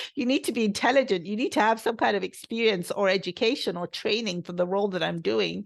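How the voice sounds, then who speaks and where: A woman's medium-pitched voice with vocal fry, lively intonation and a very fast pace, against a quiet background. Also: hardly any pauses. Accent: British. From England, London, UK-raised. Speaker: podcast host. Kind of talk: solo podcast talk. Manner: conversational, with fillers.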